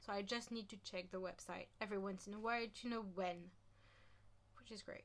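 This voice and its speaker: Animated in tone, a woman speaks with a French accent. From France. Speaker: YouTuber on true crime history. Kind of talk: casual vlog talk.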